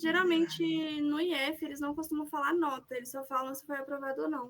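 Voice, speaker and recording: A woman talks at a fairly quick pace in a high voice with fairly even intonation. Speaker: student presenting thesis. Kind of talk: casual chat. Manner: fast.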